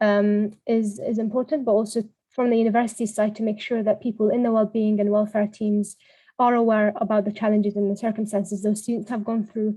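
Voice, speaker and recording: Somewhat breathy and fairly high, a woman's voice has a dark, mellow tone and moves at a fairly quick pace in a monotone, flat intonation. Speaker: workshop presenter. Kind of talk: online workshop presentation. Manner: fast; hesitant, many fillers.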